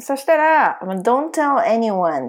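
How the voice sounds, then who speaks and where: The voice moves through very wide pitch swings. It is captured in a very clean recording with a silent background. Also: woman. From Ehime, Japan. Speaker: translator and podcast co-host. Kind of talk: casual chat.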